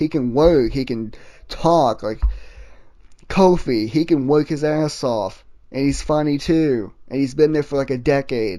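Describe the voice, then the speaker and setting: A man speaks at a fairly high pitch and a fairly slow pace. His tone is dark and mellow, with ordinary pitch variation. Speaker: wrestling podcast host. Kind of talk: casual solo podcast commentary. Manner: stuttering, halting.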